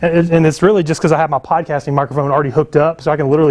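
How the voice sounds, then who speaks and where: The pitch is fairly high. It belongs to a man. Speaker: book publishing coach and marketer. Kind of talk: sales pitch. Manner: fast; casual, many filler words.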